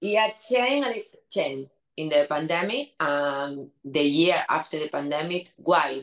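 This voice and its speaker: Speaking at a fairly slow pace, a woman uses lively intonation in a Spanish accent. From Spain. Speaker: DJ and producer. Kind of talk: interview.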